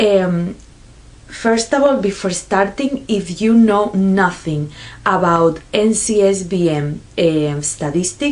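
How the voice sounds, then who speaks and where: Over noticeable background noise, a woman with a Spanish accent speaks very slowly with lively intonation. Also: medium pitch for a woman. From Spain. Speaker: nurse. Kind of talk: vlog explainer. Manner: halting, many fillers.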